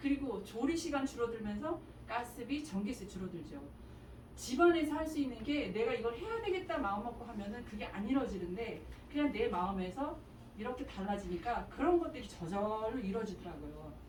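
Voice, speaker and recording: With lively intonation and a fairly high pitch, a woman's voice carries audible room echo and noticeable background noise. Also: fairly quick pace. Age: 60s. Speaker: mother giving a testimony. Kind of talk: testimony.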